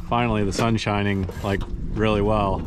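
Over noticeable background noise, a man talks very fast at a fairly low pitch, the sound dry with no echo. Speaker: sailor vlogger. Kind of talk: casual vlog chat. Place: boat. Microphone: phone near.

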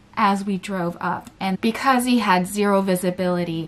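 A woman talks, keeping to a moderate pace. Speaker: vlogger. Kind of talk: casual storytelling vlog. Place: home room.

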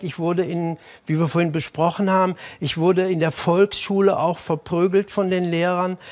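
With monotone, flat intonation, a man talks at a high pitch and a moderate pace. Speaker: school teacher. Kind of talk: TV talk show. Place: studio.

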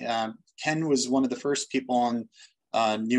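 A man with an American accent talks against a quiet background. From Boston, US. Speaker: doctor and medical research director. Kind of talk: webinar panel discussion. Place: office. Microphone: video call.

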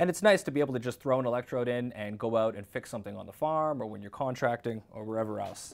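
The speech comes very fast with hardly any pauses, ordinary pitch variation and big swings in loudness. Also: man. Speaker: technical sales representative. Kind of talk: product demo tutorial. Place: workshop.

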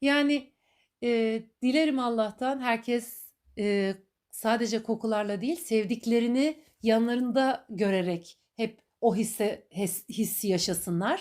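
Over a very clean recording with a silent background, a woman speaks at a very slow pace in a warm tone, her loudness very even. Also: fairly high pitch for a woman, ordinary pitch variation. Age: 40s. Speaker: podcaster. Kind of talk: personal monologue. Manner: warm, reflective.

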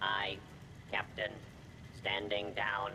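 A man puts on a character voice with a fairly low pitch. Loud background noise runs behind him. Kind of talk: game character dialogue. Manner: obedient.

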